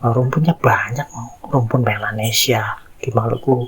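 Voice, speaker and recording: A man with an East Javanese accent at a medium pitch and fairly slow pace, over noticeable background noise. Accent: Javanese accent with East Java arek style. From Indonesia, East Java. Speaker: content creator, social commentator. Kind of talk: casual monologue, commentary.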